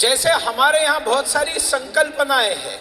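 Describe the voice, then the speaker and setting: Over noticeable background noise, a man with a Marathi accent speaks at an extremely high pitch. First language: Marathi (speaking Hindi). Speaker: public speaker. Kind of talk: speech to audience.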